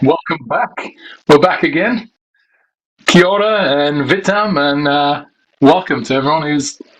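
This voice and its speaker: This man's voice sits fairly high, with an ordinary amount of pitch variation. He speaks at a moderate pace in a Yorkshire accent. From Yorkshire, England. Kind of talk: casual podcast chat.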